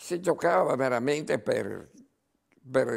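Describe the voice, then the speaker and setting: Against a quiet background, this man's pitch varies in an ordinary way. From Padua, Veneto, Italy; Veneto, Italy. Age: 80s+. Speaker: former football club president. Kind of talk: interview. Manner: halting, repeating words. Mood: reminiscing, calm. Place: home room. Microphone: lapel.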